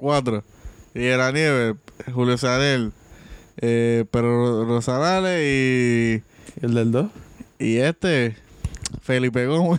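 Speaking at a very slow pace with long, frequent pauses, a man keeps a medium pitch and very even loudness. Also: ordinary pitch variation. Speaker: podcast co-host. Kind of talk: casual chat.

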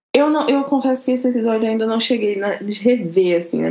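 A woman talking at a very fast pace with ordinary pitch variation, over noticeable background noise. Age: 20s. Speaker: podcast guest, R&B and TV series fan. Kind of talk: casual chat.

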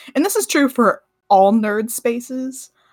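With lively intonation and a fairly high pitch, a woman speaks in an unremarkable speaking voice. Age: 20s. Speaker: podcast co-host. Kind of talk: casual chat.

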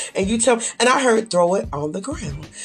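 A woman's fairly high, animated voice with lively intonation, over music in the background. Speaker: faith podcast host. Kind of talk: devotional podcast monologue.

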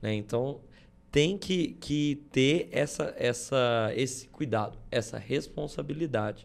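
A man at medium pitch and a very slow pace, with ordinary pitch variation. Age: 20s. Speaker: podcast co-host. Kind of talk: casual chat. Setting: studio.

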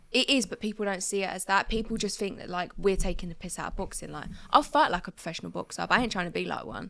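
A woman with a southeast English accent talks at a very fast pace, hardly pausing at all. Her tone is bright and sharp, with vocal fry. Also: medium pitch for a woman, ordinary pitch variation. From southeast England, Crawley. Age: 20s. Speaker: boxer and content creator. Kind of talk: casual chat. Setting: studio.

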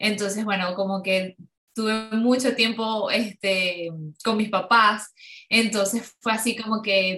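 Very slowly, a woman speaks at a fairly high pitch in a monotone, flat way, her loudness very even throughout. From Venezuela, Ciudad Ojeda near Maracaibo. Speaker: yoga instructor. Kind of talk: interview. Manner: halting, many fillers.

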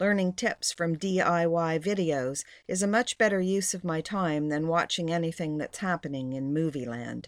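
This woman uses an ordinary speaking voice, fairly low in pitch with ordinary pitch variation, at a moderate pace with hardly any pauses. The recording is very clean with a silent background, and the sound is dry and close with no echo. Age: 60s. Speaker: blogger and homesteader. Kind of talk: reading aloud.

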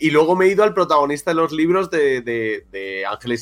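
This man talks at a fairly high pitch, and his intonation is lively. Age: 40s. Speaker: podcast host. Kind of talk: casual chat. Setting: studio.

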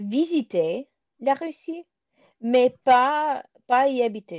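A woman talks at a very slow pace in a high voice. The sound is dry and close with no echo, over a quiet background. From US (Michigan area), born in Moscow, moved at age 3. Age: 20s. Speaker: doctoral student and pianist. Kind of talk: casual chat. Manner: halting, many hesitations.

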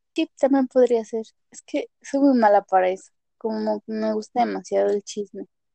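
Big swings in loudness from a woman talking at a moderate pace. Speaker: podcast co-host. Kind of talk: casual chat. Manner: frequent laughter.

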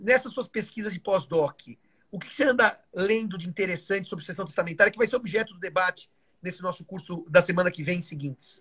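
Speaking at a very fast pace, a man with a high, bright, sharp voice shows ordinary pitch variation and big swings in loudness, in a dry, close sound with no echo. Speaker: law professor. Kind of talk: casual chat. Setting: live video stream.

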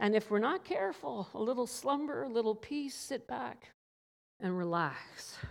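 With a Newfoundland accent, this woman talks at a moderate pace, her fairly high pitch making very wide swings. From Newfoundland, Canada. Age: 50s. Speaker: pastor. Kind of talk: sermon.

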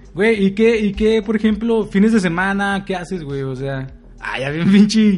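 With a Mexican accent, a man with a high pitch and ordinary pitch variation talks at a moderate pace. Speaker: podcast co-host. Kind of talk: casual chat. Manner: laughing often.

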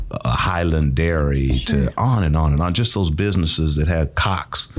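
Noticeable background noise sits under a man with an American accent talking at a moderate pace in a very deep, low voice. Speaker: nonprofit executive director, podcast guest. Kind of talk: casual, warm conversational.

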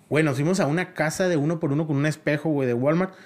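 A fairly high-pitched man at a fairly quick pace with ordinary pitch variation, on a very clean recording with a silent background. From Mexico, La Paz, Baja California Sur. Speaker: choreographer and dance academy director. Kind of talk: casual chat. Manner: animated.

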